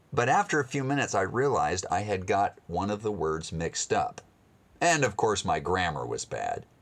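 A man with an American accent at a moderate pace, on a very clean recording with a silent background. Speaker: missionary radio speaker. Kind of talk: sermon-style storytelling with a gospel message.

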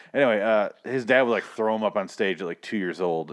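With an American accent, a man talks at a fairly quick pace in a plain, everyday voice with ordinary pitch variation. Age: 30s. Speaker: podcast host. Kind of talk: casual chat.

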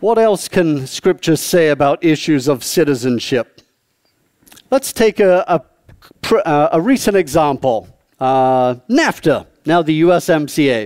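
In a dry, close sound with no echo, a man with a fairly high pitch speaks at a very slow pace, his intonation lively and his loudness very even. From southeast England. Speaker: professor and politician, guest preacher. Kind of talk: sermon. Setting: church with audience, also streamed online.

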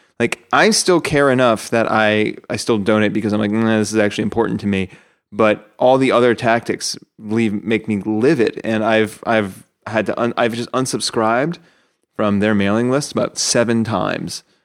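Fairly even in intonation and moderate in pace, this is an unremarkable speaking voice. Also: man, medium pitch for a man. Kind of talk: casual chat. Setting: video call.

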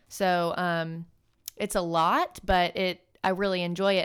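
A woman speaks at a medium pitch with an American accent and fairly even intonation, in an ordinary speaking voice. The recording is very clean, with a silent background. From US South, Birmingham, Alabama. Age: 20s. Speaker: training and development analyst, former teacher. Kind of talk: casual interview chat.

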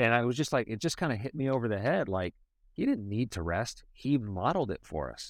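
A man with an American accent and an ordinary speaking voice, medium in pitch, with lively intonation and a fairly quick pace, on a very clean recording with a silent background. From US Midwest, Cleveland, Ohio. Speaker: hip-hop artist. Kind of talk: casual chat.

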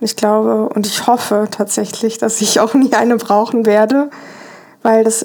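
Against noticeable background noise, a woman with a fairly high voice speaks fairly slowly in a flat monotone. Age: 30s. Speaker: interviewee sharing breakup experience. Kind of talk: interview. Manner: halting, many fillers.

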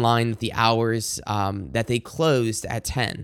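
Mumbled speech with an American accent at a fairly slow pace, on a very clean recording with a silent background. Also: man. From Michigan, US. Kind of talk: devotional monologue with prayer. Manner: halting, fillers, self-described mumbling.

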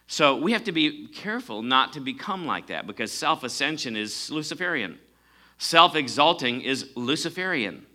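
An animated voice with a bright, sharp tone and lively intonation moves along at a moderate pace. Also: man, fairly high pitch for a man. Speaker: preacher. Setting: church with congregation. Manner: animated, emphatic, rising intensity; call-and-response, asking congregation for amens.

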